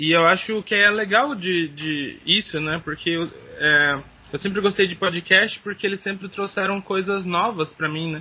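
Ordinary pitch variation at a moderate pace. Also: man, high pitch for a man. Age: 20s. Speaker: teacher and podcaster. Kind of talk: interview. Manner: halting.

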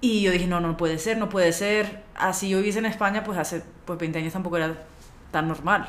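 Fairly quick speech from a woman at medium pitch, fairly even intonation, with audible room echo. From Spain, Canary Islands. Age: 30s. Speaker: podcast guest. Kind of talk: casual chat.

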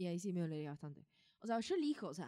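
This voice has an Argentine accent and a dark, mellow tone. The sound is dry and close, with no echo. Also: woman. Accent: Rioplatense Argentine Spanish. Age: 20s. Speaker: podcast co-host. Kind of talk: casual chat.

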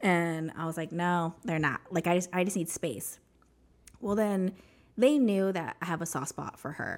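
In a very clean recording with a silent background, a woman with an American accent talks in a normal speaking voice, fairly low in pitch, with ordinary pitch variation at a moderate pace. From US Southwest (New Mexico). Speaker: ex-Jehovah's Witness sharing her story. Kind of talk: testimony.

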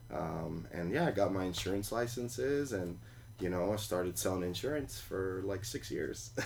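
A man talks at a moderate pace in a very deep, low voice with vocal fry. His intonation is lively. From New York City (Queens), Colombian immigrant parents. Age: 20s. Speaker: cafe owner. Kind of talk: interview. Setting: tiny house, in person. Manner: many fillers and restarts.

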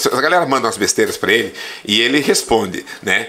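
A man talks at a fairly quick pace. Noticeable background noise can be heard. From Santa Catarina, Brazil (western, gaúcho family). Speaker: Portuguese teacher. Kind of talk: casual interview chat.

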